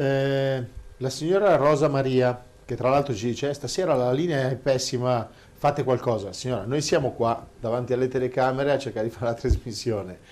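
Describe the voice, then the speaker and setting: A man with an unremarkable speaking voice at a medium pitch. He talks at a fairly quick pace with ordinary pitch variation. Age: 50s. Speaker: show host reading listener questions. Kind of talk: casual chat.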